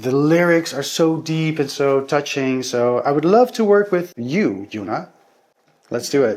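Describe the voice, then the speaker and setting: At a fairly slow pace, a man with a Dutch accent speaks at a fairly high pitch for a man, with very wide pitch swings. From Netherlands. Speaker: singer-songwriter. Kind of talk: interview answers. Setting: studio.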